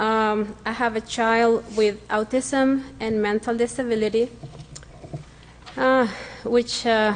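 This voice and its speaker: A woman's fairly high voice at a very slow pace, with long, frequent pauses, fairly even intonation and very even loudness. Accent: non-native. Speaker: parent speaking at public comment. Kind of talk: prepared public comment. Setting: school board meeting. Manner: halting, with fillers.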